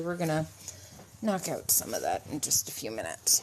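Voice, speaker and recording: A woman speaks loudly. Noticeable background noise runs behind her. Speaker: livestreamer showing pet ducks. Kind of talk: casual live stream chat. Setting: home bathroom, live stream.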